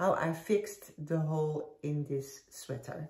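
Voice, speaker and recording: Here a woman with a slight Dutch accent talks at a very slow pace. Her voice is somewhat breathy and very deep and low in pitch. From Netherlands. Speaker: knitting podcaster. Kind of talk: casual chat. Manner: halting.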